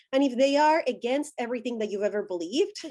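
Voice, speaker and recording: A woman with a Spanish accent speaks in a fairly high voice. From Colombia. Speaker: deconstruction thought-leader. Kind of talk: interview.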